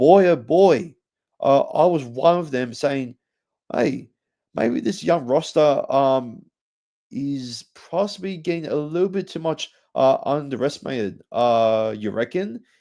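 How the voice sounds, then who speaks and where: A man with a fairly high pitch speaks at a fairly slow pace, his dark, mellow tone carried by lively intonation over a quiet background. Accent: Australian. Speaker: rugby league podcast host. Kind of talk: sports preview podcast. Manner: halting, many fillers.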